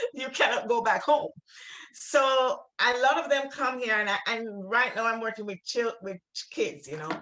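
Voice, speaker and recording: Speaking with a strong Jamaican accent, a woman has a fairly high pitch. Her pace is moderate. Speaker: writer and refugee worker. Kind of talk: literary conversation. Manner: halting, many repeated words.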